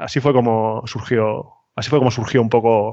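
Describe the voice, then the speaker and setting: A man speaks with fairly even intonation. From Spain, Cartagena (Murcia). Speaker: architect, consultancy founder. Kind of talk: interview. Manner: halting, many repetitions.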